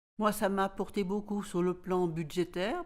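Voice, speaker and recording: An unremarkable speaking voice, delivered at a fairly slow pace with fairly even intonation, sits on a very clean recording with a silent background. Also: woman. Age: 60s. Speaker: resident of supported housing. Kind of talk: interview testimony.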